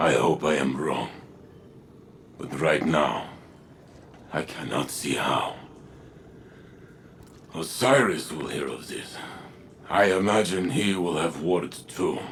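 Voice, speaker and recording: In a put-on character voice with very deep, low pitch, a man speaks fairly slowly with long, frequent pauses over clear background noise. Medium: video game. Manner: grave, solemn.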